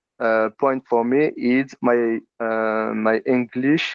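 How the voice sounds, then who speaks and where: With a French accent, a man speaks at medium pitch in a monotone, flat intonation. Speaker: telecom team manager. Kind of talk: interview. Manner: halting.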